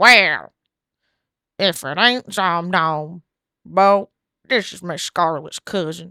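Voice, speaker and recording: A put-on character voice at a middle pitch moves at a very slow pace with long, frequent pauses. The recording is very clean, with a silent background. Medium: solo performance. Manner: folksy, plainspoken.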